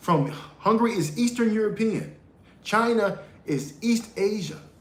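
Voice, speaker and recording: A man with a high-pitched voice and ordinary pitch variation is heard against audible room echo. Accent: American. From United States. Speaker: podcast host. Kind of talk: live-stream monologue. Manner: halting, repeats words.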